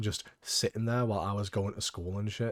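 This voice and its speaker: On a very clean recording with a silent background, a man speaks with a British accent. His pitch sits in the medium range. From UK. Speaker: gaming YouTuber. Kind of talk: casual gameplay commentary.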